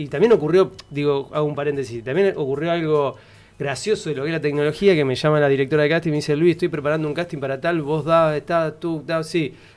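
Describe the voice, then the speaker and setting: His pitch sits fairly high for a man. The man rattles along at a very fast pace. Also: hardly any pauses. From Argentina, San Nicolás (Buenos Aires province); Buenos Aires province, Argentina. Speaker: actor. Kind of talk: casual chat. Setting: studio. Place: studio. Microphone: studio mic.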